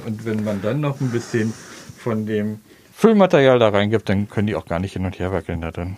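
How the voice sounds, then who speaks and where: Background noise is noticeable throughout. The talking goes at a moderate speed. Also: man. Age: 60s. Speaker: shop owner. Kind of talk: on-site interview. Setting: in his shop.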